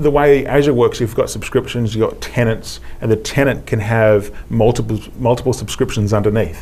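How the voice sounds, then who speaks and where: A man with an Australian accent at medium pitch, talking at a fairly quick pace with fairly even intonation. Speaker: IT specialist. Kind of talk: technical demo interview.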